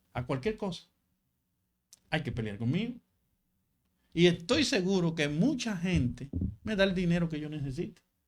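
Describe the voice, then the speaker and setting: A man's high-pitched voice with a Dominican accent, very wide pitch swings, and long, frequent pauses at a moderate pace. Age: 60s. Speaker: local party leader. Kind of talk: interview.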